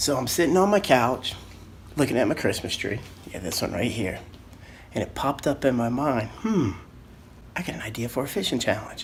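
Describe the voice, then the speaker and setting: A man whispers at a fairly quick pace. He leaves long, frequent pauses. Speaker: fishing show host. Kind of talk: casual vlog narration. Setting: at home, indoors. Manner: whispering a little.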